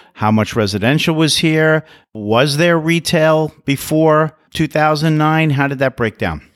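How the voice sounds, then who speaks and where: On a very clean recording with a silent background, a man uses an ordinary speaking voice at a moderate pace with lively intonation. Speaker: podcast host. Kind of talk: interview, scripted intro. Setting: recording in an office.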